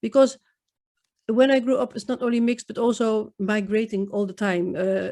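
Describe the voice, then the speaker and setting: In a very clean recording with a silent background, a woman with a Dutch accent speaks in a fairly high voice with a dark, mellow tone and ordinary pitch variation. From Netherlands, Indo community. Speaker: poet. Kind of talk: interview. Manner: halting.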